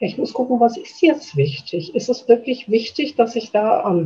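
Her dark, mellow tone sits at a fairly high pitch for a woman, and her voice moves in very wide pitch swings. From Schwerte, Ruhr area, Germany. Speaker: chair of hospice volunteer association. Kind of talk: interview.

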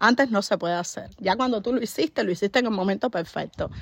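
A woman with a fairly high pitch talks at a fairly quick pace in an animated tone, her intonation lively against a quiet background. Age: 30s. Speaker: podcaster. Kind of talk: motivational monologue. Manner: halting.

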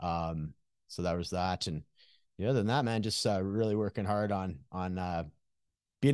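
With a Canadian accent and a normal speaking voice, a man talks at a fairly quick pace, his pitch fairly low, against a quiet background. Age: 40s. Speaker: recovery coach. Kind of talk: casual interview conversation.

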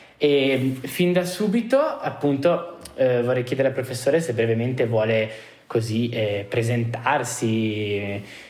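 A man talks fairly slowly at medium pitch with ordinary pitch variation. Noticeable background noise and audible room echo accompany him. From Trentino, northern Italy. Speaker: law student interviewer. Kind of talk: interview. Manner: halting.

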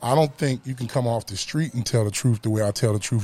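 This man has a medium pitch, a somewhat breathy voice, an American accent and ordinary pitch variation. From Camden, New Jersey. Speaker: youth football mentor, former football player. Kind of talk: casual chat. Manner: animated.

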